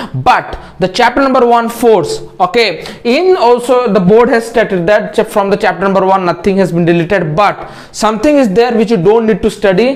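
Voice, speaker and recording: Against noticeable background noise, a man speaks in a high voice with ordinary pitch variation and very even loudness. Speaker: online tutor. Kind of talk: tutorial. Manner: fast; halting.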